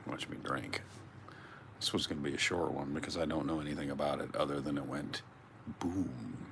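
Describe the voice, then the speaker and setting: Quiet and very deep, a man's low-pitched voice moves at a fairly quick pace with fairly even intonation and long, frequent pauses. Audible room echo and noticeable background noise come through. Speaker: YouTube livestreamer. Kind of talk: casual livestream chat. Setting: at home, indoors, livestream. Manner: talking quietly; halting.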